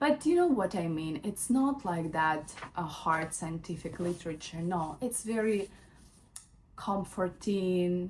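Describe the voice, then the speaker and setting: A somewhat breathy woman with a non-native accent, fairly low pitch, lively intonation and a fairly slow pace. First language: not English. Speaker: lifestyle vlogger. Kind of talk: casual book review vlog. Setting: at home in bedroom. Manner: hesitant, many fillers.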